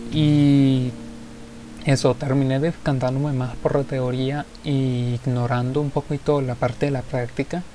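Over music in the background, a man speaks at a medium pitch in a monotone, flat intonation. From Venezuela. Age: 20s. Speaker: podcaster and musician. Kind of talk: solo podcast monologue.

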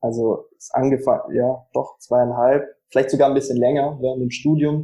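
A man with a medium pitch and a dark, mellow tone speaks at a moderate pace, somewhat breathy, with fairly even intonation. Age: 20s. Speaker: startup founder. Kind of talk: interview.

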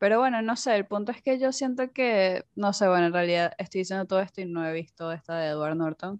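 A woman with an unremarkable speaking voice and medium pitch talks at a fairly quick pace with hardly any pauses. Her intonation is lively, and the sound is dry and close with no echo. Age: 20s. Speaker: podcast host. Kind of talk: casual chat.

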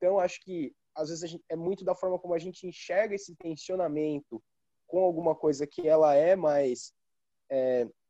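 In a dry, close sound with no echo, a man with a fairly high pitch and a dark, mellow tone speaks with ordinary pitch variation. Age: 20s. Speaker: author and student. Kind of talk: casual chat.

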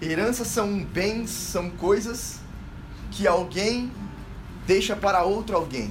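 A man's high voice, animated in tone and fairly slow, with ordinary pitch variation, audible room echo and noticeable background noise. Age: 20s. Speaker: medical student and lay preacher. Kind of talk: sermon.

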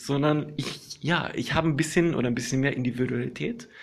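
Audible room echo surrounds a man with a fairly high pitch and ordinary pitch variation. His tone is relaxed, with vocal fry. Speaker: podcaster. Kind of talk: casual monologue. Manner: halting, many fillers.

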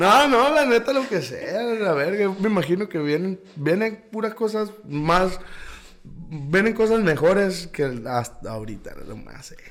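A high-pitched man with a northern Mexican accent speaks fairly slowly, with very wide pitch swings and big shifts in loudness, over noticeable background noise. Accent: northern Mexican (Sonora). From Caborca, Sonora, Mexico. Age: 20s. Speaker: musician. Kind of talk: casual interview.

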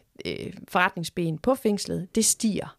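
A woman talks at a fairly slow pace with ordinary pitch variation. The recording is very clean, with a silent background and a dry, close sound with no echo. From Denmark, Horsens (East Jutland). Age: 50s. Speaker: museum director. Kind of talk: interview. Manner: hesitant, many fillers.

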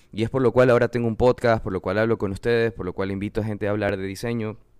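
Very fast speech comes from a man with a fairly low pitch. His intonation is flat and monotone. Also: dry, close sound with no echo. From Ecuador, Manabí (coast). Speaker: podcast host, graphic designer. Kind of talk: solo podcast monologue. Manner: casual, repetitive fillers.

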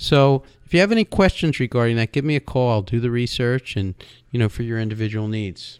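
A man with a normal speaking voice talks at a fairly quick pace in a medium pitch with ordinary pitch variation, in a dry, close sound with no echo. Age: 60s. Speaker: radio host and insurance wholesaler. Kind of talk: radio talk show monologue.

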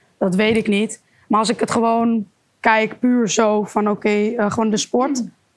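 Her delivery is monotone and flat, with very even loudness, at a moderate pace. The woman's pitch sits fairly high. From Amsterdam area, Netherlands. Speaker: kickboxer. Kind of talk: interview.

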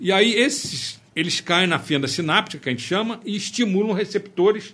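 Noticeable background noise is present. Over it, a man talks with lively intonation. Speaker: physician. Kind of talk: casual interview.

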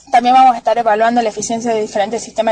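A woman with a fairly high voice is heard through noticeable background noise. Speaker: agricultural researcher. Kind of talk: radio interview. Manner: formal.

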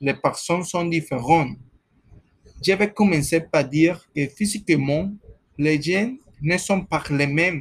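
With a Spanish accent, a man speaks very slowly in a high pitch, with ordinary pitch variation and long, frequent pauses. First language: Spanish (speaking French). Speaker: guest on student radio-style show, psychologist. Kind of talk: mock radio discussion. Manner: halting.

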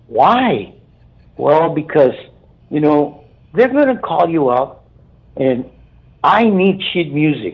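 A man speaks with a South Texas accent. His pitch is fairly high. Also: long, frequent pauses. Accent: South Texas Mexican-American English. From Brownsville, Texas. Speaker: keyboardist. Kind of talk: interview. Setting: phone call.

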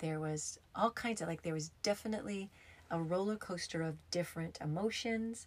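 A woman's somewhat breathy, fairly low voice at a fairly slow pace, with ordinary pitch variation. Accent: American. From US, upstate New York and Arizona. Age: 50s. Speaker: podcast host, yoga therapist and former hairdresser. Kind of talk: casual storytelling monologue.

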